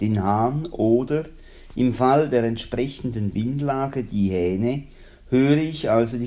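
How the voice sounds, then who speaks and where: This man talks very slowly in a dark, mellow tone. Room echo can be heard around his voice. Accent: Swiss. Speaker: radio host. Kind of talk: reading aloud; radio presenting.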